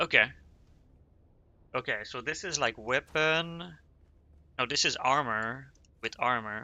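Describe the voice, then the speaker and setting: A man in a Quebec accent at a fairly slow pace, with long, frequent pauses, medium pitch and ordinary pitch variation. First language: French. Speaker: streamer. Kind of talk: casual gaming livestream chat. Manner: halting, self-correcting.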